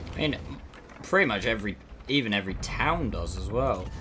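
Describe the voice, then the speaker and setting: With music in the background, a man with a London accent speaks at a fairly quick pace using lively intonation. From South East London. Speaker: video game streamer. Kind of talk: live gameplay commentary. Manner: casual, chatty.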